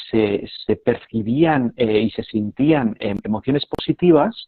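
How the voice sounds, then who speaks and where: A man with an unremarkable speaking voice talks at a fairly slow pace with a medium pitch and lively intonation. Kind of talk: casual live video chat.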